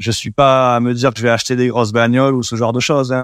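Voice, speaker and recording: Captured in a very clean recording with a silent background, a man speaks at a medium pitch. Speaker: WordPress developer and agency founder. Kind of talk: interview. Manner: hesitant, many repetitions and fillers.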